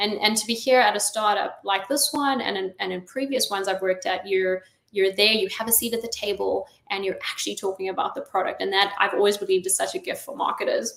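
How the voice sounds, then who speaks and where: A woman with a slight South African accent at a very fast pace. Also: medium pitch for a woman, fairly even intonation. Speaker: chief marketing officer. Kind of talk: interview. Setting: online live stream.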